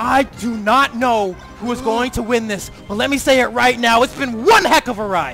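Light background noise can be heard. The pace is moderate. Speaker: esports commentator. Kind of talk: live esports commentary.

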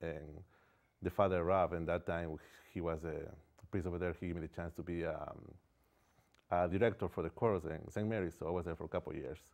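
A man with a very deep, low voice talks fairly quickly in a Spanish accent, with fairly even intonation. He takes long, frequent pauses, and the background is quiet. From Ecuador. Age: 40s. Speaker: painter. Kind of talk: interview. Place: studio. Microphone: lapel.

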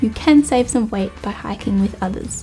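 Faint music in the background accompanies a woman speaking at a moderate pace. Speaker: hiking channel host. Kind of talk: talk to camera, pros and cons list. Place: home room.

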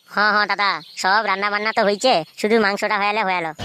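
Using a cartoonish character voice, a woman speaks at a moderate pace and a medium pitch with monotone, flat intonation. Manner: soft, obliging.

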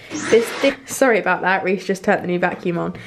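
A woman talks with lively intonation. Light background noise is present. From UK. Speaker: vlogger. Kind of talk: casual vlog. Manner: halting. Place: kitchen. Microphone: phone near.

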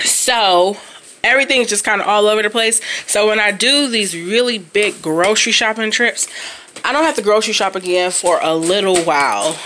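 Here a woman talks. The pace stays moderate. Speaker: parent vlogger. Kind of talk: casual vlog chat. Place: home room. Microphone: phone near.

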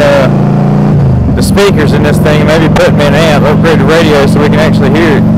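A man talks at a moderate pace, the sound dry with no echo. Loud background noise sits behind him. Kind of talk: casual vlog chat. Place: motorbike. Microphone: helmet.

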